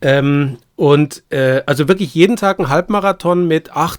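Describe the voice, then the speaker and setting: A man's fairly high voice with a Bavarian accent, very slow pace and ordinary pitch variation, on a very clean recording with a silent background. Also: dry, close sound with no echo. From Bavaria, Munich. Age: 50s. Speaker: landscape painter. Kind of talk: casual chat.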